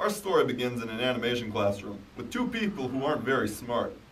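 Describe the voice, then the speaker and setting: Putting on a gruff character voice at a medium pitch, a man races along at a very fast pace with lively intonation over clear background noise. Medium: machinima. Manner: gruff, impatient, sarcastic.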